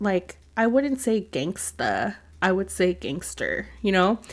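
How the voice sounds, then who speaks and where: A woman's medium-pitched voice with vocal fry and an American accent, at a fairly slow pace, in a very clean recording with a silent background. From California. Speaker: podcast co-host. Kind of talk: casual chat.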